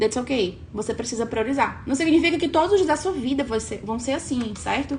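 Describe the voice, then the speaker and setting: Against noticeable background noise, a woman talks at a fairly quick pace with a high pitch, an animated tone, and lively intonation. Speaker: online coach. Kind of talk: live stream talk.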